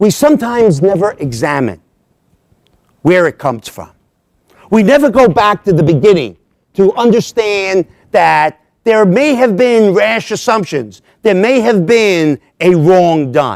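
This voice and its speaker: Here a man speaks at a fairly slow pace with long, frequent pauses. His voice is high-pitched with very wide pitch swings. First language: Italian. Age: 60s. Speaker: lecturer on Italian American history. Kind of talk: lecture. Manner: frequent 'all right?' fillers.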